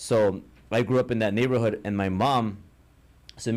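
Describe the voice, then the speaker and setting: With an American accent, a man speaks at medium pitch and a moderate pace. His intonation stays fairly even. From Los Angeles, Echo Park. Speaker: entrepreneur and business mentor. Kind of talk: podcast interview.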